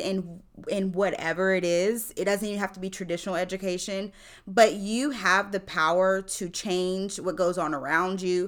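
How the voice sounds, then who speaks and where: A woman with a Mississippi accent speaks at a fairly slow pace and a medium pitch. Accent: Southern US (Mississippi), audible. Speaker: teacher. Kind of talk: casual chat.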